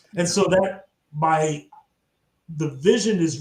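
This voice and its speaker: This is a man speaking. His pitch is fairly high. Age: 60s. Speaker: tech nonprofit executive director. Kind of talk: interview. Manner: halting, many fillers.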